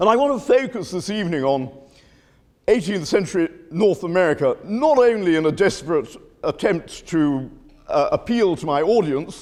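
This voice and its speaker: Very wide pitch swings at a moderate pace, in a British accent. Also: man, high pitch for a man. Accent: British-educated English. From United Kingdom (educated), Spanish family. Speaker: history professor. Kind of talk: lecture. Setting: lecture hall with audience. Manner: hesitant, many fillers.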